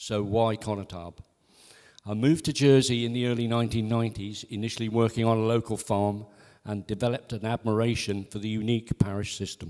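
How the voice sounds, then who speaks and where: A man's normal speaking voice at medium pitch, with fairly even intonation and a fairly quick pace. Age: 60s. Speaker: election candidate. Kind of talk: campaign speech. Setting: parish hall with audience.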